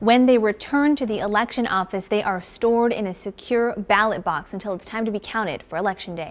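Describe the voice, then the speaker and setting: A plain, everyday voice at a fairly quick pace with hardly any pauses and ordinary pitch variation. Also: woman, fairly high pitch for a woman. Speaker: TV news reporter and anchor. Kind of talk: TV news report voiceover.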